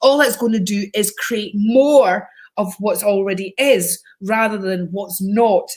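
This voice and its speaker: This woman's voice sits at a fairly high pitch, somewhat breathy, with ordinary pitch variation. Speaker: psychic live-stream host. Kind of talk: casual live stream chat. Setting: live video stream. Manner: chatty, animated.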